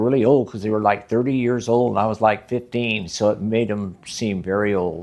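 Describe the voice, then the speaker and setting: A man's medium-pitched voice with an American accent, fairly even intonation and a moderate pace, against noticeable background noise. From US West, California Central Valley. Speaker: former volunteer firefighter. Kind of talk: oral history interview.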